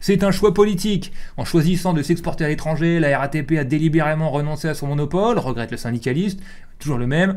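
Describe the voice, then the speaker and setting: Speech comes at a very fast pace amid audible room echo. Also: man, fairly high pitch for a man, ordinary pitch variation. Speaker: streamer and show host. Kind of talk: reading aloud news articles with commentary. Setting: live stream. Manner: casual, colloquial.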